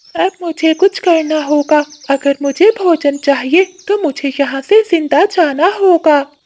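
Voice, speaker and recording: A cartoonish character voice at a high pitch talks at a fairly slow pace. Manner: eager, determined.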